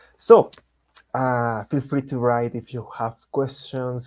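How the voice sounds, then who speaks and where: A man of medium pitch speaks in a Spanish accent with a dark, mellow tone, monotone, flat intonation and a fairly slow pace, in a very clean recording with a silent background. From Latin America. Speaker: software engineer and developer advocate. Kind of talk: technical presentation. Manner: halting, many fillers.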